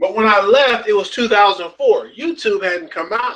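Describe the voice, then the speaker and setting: A man talks in a high pitch with a bright, sharp tone. His voice is raised and projected. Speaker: network marketing trainer. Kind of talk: webinar teaching talk. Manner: halting.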